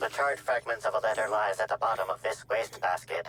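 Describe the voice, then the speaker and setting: A man's put-on character voice, medium in pitch, at a very fast pace. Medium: video game. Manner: precise, formal, matter-of-fact.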